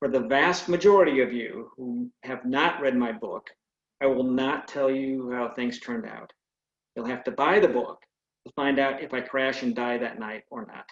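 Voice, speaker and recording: In a plain, everyday voice, a man with an American accent speaks at a moderate pace and medium pitch, with ordinary pitch variation and big swings in loudness. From California, US. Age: 60s. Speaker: retired air force pilot and author. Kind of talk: speech; reading aloud.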